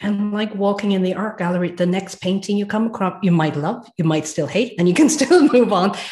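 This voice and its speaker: With an Irish accent, a woman speaks at a medium pitch, somewhat breathy, with lively intonation. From Ireland. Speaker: transformative coach, former nursing director. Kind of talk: casual interview chat.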